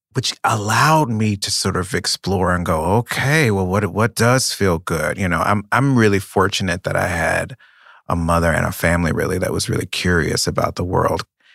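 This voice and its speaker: A man with an American accent has a plain, everyday voice, a fairly low pitch and ordinary pitch variation at a moderate pace. The very clean recording has a silent background and a dry, close sound with no echo. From North Carolina, US South. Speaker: playwright. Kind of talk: interview conversation. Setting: interview.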